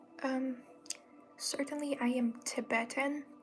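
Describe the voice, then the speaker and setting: Over noticeable background noise, a woman speaks in a calm tone at a very slow pace with monotone, flat intonation. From Tibet. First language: not English. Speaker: reiki healer. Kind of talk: live stream Q&A. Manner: soft-spoken.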